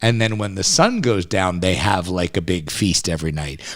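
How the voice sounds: The speaker has a Philadelphia accent and lively intonation. The pace is moderate. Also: man, low pitch for a man. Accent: American, Philadelphia.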